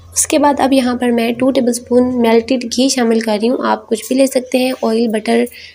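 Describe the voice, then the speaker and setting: A woman speaks at a moderate pace in a high pitch with monotone, flat intonation. Noticeable background noise runs underneath. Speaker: cooking channel host. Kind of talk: cooking tutorial. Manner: hesitant fillers (uh).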